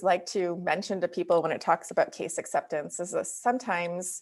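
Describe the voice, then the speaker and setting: A woman with a Wisconsin accent, fairly quick pace and ordinary pitch variation. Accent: Wisconsin accent, sounds slightly Canadian. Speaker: dental practice consultant. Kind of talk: webinar presentation. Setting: video webinar.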